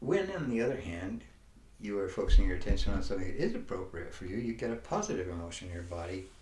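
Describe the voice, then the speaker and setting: There is audible room echo as a man talks at a very fast pace. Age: 80s+. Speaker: life coach / wellness teacher. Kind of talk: motivational talk. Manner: halting.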